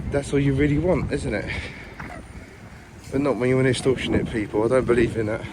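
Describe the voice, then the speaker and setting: A man talks very fast, with long, frequent pauses and fairly even intonation at a medium pitch. The room echo is audible and background noise is noticeable. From East London, England. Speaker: travel vlogger. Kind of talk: walking vlog commentary. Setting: outdoors in a park. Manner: casual, repetitive filler speech.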